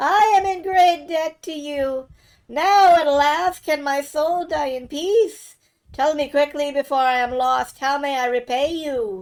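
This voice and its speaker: Using a put-on character voice, a woman speaks at a high pitch. The voice is shaky and the pace fairly slow. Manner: grateful, solemn.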